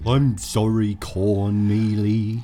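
In a put-on character voice, a man booms at a fairly low pitch with monotone, flat intonation over clear background noise. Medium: actual play. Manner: slow, simple, literal.

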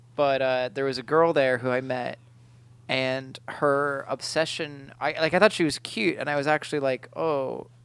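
The speaker is a man. His voice is medium in pitch. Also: very clean recording, silent background. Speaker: podcast co-host. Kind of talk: casual chat. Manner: animated; halting.

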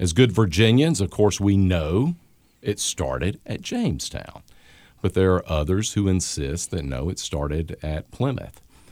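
A man's very deep, low voice with a Southern US accent and lively intonation, at a fairly slow pace, on a very clean recording with a silent background. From US Gulf South. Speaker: history professor.

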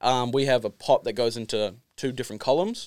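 A man with an Australian accent speaks at a medium pitch and a fairly quick pace, with ordinary pitch variation. The sound is dry and close, with no echo. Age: 20s. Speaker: distiller. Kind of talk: casual chat.

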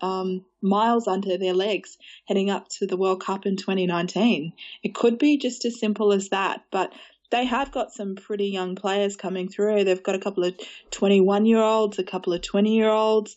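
With an Australian accent, a woman at a medium pitch talks at a moderate pace using fairly even intonation. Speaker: women's football journalist. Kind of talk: casual chat.

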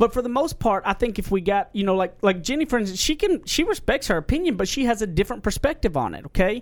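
In an American accent, the voice races at a very fast pace with very wide pitch swings and hardly any pauses. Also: man, high pitch for a man. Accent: Southern US, self-described redneck voice. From Southern US. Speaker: podcast host.

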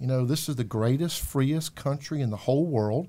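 A man with a Southern US accent talks at a medium pitch. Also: very clean recording, silent background. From US South, South Carolina. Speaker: faith outreach political organizer. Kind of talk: interview. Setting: studio.

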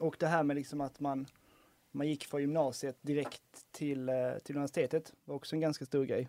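A man with a fairly high pitch talks at a fairly quick pace in a monotone, flat intonation, his dark, mellow tone caught as a dry, close sound with no echo. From Skåne, Helsingborg. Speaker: university student. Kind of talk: casual chat.

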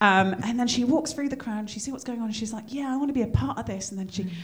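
A woman talks at a very fast pace with a fairly high pitch, lively intonation and an animated tone. Noticeable background noise runs behind her. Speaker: podcast host. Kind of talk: casual chat. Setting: comedy museum venue.

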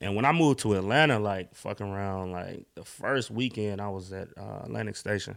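Over a silent background in a very clean recording, a man with a fairly low pitch talks at a fairly quick pace with hardly any pauses, ordinary pitch variation and big swings in loudness. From US South, Durham, North Carolina. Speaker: music producer. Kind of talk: casual interview.

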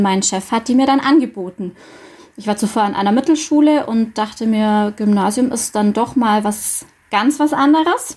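A woman with an ordinary speaking voice talks at a moderate pace, her fairly high pitch showing ordinary pitch variation. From Bavarian Swabia (Dillingen district). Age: 30s. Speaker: school social worker. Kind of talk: radio interview.

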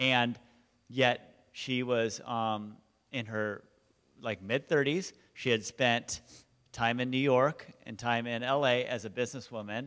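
A man with an American accent has an unremarkable speaking voice. His pitch is medium, with ordinary pitch variation. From Southern California, Huntington Beach. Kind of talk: testimony. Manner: casual, filler-heavy.

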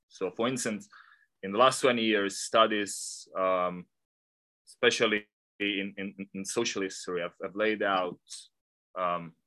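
With an Italian accent, a man speaks in a bright, sharp tone at a fairly low pitch, his intonation fairly even. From Italy. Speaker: art historian, professor. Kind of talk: academic interview. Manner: halting, many fillers.

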